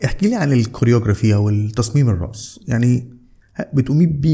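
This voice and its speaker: Somewhat breathy and dark, mellow in tone, a man talks at a fairly quick pace with medium pitch and ordinary pitch variation. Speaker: podcast host, website founder. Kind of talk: interview.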